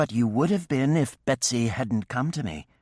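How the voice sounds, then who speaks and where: Using a put-on character voice at medium pitch, a man speaks with lively intonation in a very clean recording with a silent background and a dry, close sound with no echo. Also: moderate pace. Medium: read story. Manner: dry, composed.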